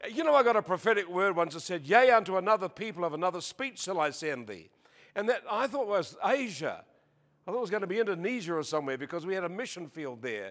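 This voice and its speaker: Very fast, animated speech in an Australian accent with lively intonation. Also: man, high pitch for a man. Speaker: preacher. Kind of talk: sermon. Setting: church with audience.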